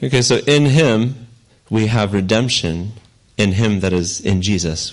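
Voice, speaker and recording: Audible room echo surrounds a man speaking at a fairly slow pace. His pitch is fairly low, with ordinary variation. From Ukraine. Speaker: missionary pastor. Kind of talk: sermon with interpreter. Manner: slow, with pauses for translation.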